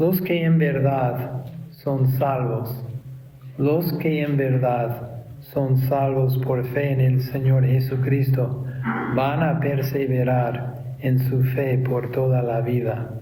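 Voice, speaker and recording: Over noticeable background noise and audible room echo, a man speaks at a very slow pace with very even loudness. His medium-pitched voice has a monotone, flat intonation. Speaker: pastor. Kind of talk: sermon.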